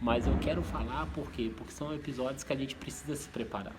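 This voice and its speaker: A man speaks with ordinary pitch variation. The recording has audible room echo and noticeable background noise. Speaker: vlogger. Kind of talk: vlog monologue. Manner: soft-spoken; halting.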